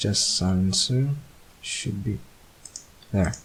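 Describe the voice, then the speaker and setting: This man speaks with a non-native accent and ordinary pitch variation. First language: not English. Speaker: game mapping tutorial maker. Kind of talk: screen-recorded software tutorial narration.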